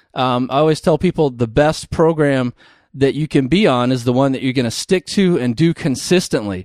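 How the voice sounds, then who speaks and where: In a very clean recording with a silent background and a dry, close sound without echo, a man with an unremarkable speaking voice speaks at a fairly high pitch, a moderate pace and ordinary pitch variation. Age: 30s. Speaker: certified personal trainer. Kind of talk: casual interview. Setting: studio, sharing one mic.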